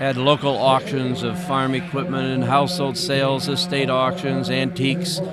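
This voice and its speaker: A man with a fairly high voice talks at a moderate pace with hardly any pauses and ordinary pitch variation. Audible room echo and noticeable background noise fill the recording. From Northeast Indiana, US Midwest. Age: 70s. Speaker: former auctioneer and state senator. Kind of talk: interview.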